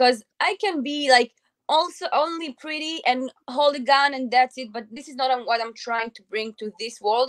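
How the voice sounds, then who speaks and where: A woman speaks with an Israeli accent at a high pitch. The sound is dry and close, with no echo. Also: ordinary pitch variation, moderate pace, big swings in loudness. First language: Hebrew. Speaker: firearms instructor and content creator. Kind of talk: casual interview chat. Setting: online live stream.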